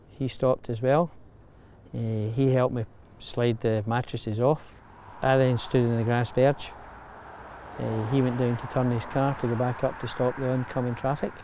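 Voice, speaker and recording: Against noticeable background noise, a man speaks in a monotone, flat intonation with long, frequent pauses. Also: medium pitch for a man, moderate pace. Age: 60s. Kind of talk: interview answer.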